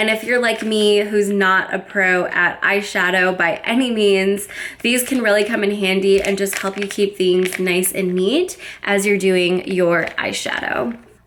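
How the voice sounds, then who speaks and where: With an American accent, a woman speaks at a fairly slow pace and a medium pitch. Background noise is noticeable. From United States, Florida. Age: 20s. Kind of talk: casual makeup review to camera. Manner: upbeat, enthusiastic.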